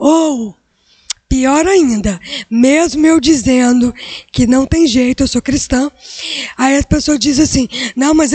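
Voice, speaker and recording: A woman with high pitch, at a fairly slow pace with long, frequent pauses and very even loudness, in a dry, close sound with no echo. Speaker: career guest speaker. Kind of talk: motivational talk to students. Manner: animated.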